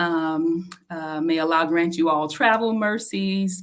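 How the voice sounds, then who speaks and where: A woman's normal speaking voice, fairly low in pitch, at a fairly slow pace with ordinary pitch variation. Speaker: podcast co-host. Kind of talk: casual tips talk.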